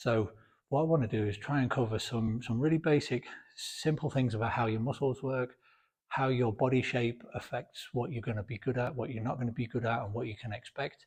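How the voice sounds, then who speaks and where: In a quiet background, a man talks fairly quickly at medium pitch, somewhat breathy and fairly even in intonation. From Britain. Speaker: fitness video creator. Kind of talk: informal talk to camera. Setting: home gym. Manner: varying pace, sometimes quiet; halting, repeats words.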